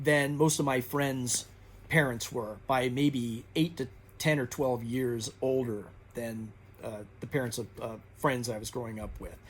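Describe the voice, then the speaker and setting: The man talks at a fairly slow pace. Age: 60s. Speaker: booktuber. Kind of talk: casual monologue. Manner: halting, many fillers.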